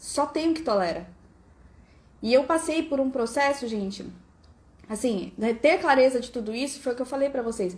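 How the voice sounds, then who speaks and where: With a high pitch, a woman talks in an animated tone with lively intonation and long, frequent pauses. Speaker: family constellation coach. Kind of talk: live stream talk. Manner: fast.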